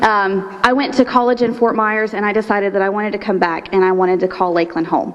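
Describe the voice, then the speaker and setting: Noticeable background noise surrounds a woman with an American accent. Her pitch varies in an ordinary way. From Florida, Polk County. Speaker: nonprofit executive director, leadership program graduate. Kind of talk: graduation speech. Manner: fast.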